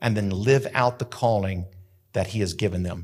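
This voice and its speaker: A man with an American accent talks at a fairly quick pace in an animated tone, somewhat breathy, with ordinary pitch variation. The recording is very clean, with a silent background. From US Southwest, rural New Mexico. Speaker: pastor. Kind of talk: sermon. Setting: church sanctuary with live audience, also streamed.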